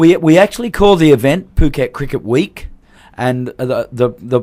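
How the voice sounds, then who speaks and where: On a very clean recording with a silent background, a man with an Australian accent speaks at a moderate pace with lively intonation. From Australia, Perth. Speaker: cricket tournament organiser. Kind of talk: radio interview. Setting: radio studio.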